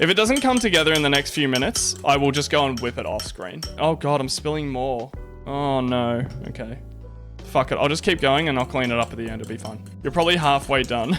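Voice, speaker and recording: A man with an Australian accent, fairly high pitch, lively intonation and a fairly quick pace over music in the background. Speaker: Twitch streamer. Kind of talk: casual live stream talk while making coffee. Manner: laid back.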